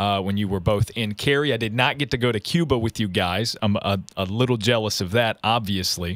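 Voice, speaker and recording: A plain, everyday voice with an American accent speaks fairly quickly, with ordinary pitch variation. The recording is very clean, with a silent background. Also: man, fairly low pitch for a man. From southwestern Virginia. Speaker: podcast host. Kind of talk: interview.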